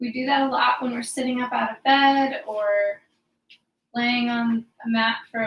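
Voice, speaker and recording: Intonation is fairly even. The pace is moderate. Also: woman. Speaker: yoga teacher. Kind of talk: guided yoga class. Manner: soft-spoken; halting.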